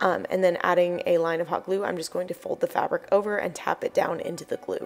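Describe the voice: Speaking at a fast pace, a woman uses a fairly low pitch with vocal fry.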